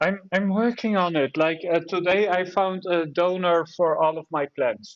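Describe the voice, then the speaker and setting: A man with a Dutch accent talks at a fairly slow pace in a high pitch, with ordinary pitch variation. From Netherlands. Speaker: live audio room host. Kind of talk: casual chat.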